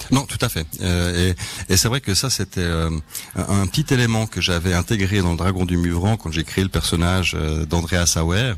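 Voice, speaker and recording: Here a man speaks with a very deep, low pitch and ordinary pitch variation. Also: moderate pace. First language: Swedish (speaking French). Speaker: crime novelist. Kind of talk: radio interview. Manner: hesitant, many fillers.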